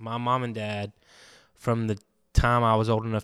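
A man's fairly low voice in a Southern US accent, monotone and flat, on a very clean recording with a silent background. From Alabama, Andalusia. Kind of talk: casual chat.

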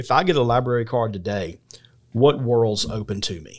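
Captured on a very clean recording with a silent background, a man with a Southern US accent speaks with ordinary pitch variation. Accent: Southern US (Georgia). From US South, Georgia (McDuffie County). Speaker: podcast host. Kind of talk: interview.

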